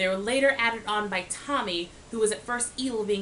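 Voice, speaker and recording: A woman talks at a fairly quick pace. Her pitch is medium, and background noise is noticeable. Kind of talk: casual talk to camera. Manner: stuttering.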